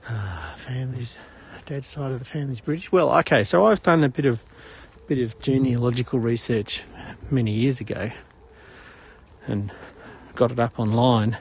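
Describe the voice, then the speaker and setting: The voice is somewhat breathy, with an Australian accent and ordinary pitch variation. Long, frequent pauses break up the speech. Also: man, medium pitch for a man, moderate pace. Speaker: live-stream walking vlogger. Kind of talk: casual live-stream chat while walking. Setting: outdoors on a morning walk. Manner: casual, hesitant with fillers.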